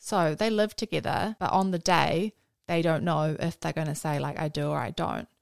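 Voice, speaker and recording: A woman with a New Zealand accent speaks at a fairly quick pace and a fairly low pitch. The recording is very clean, with a silent background and a dry, close sound with no echo. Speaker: host's friend. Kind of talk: casual chat.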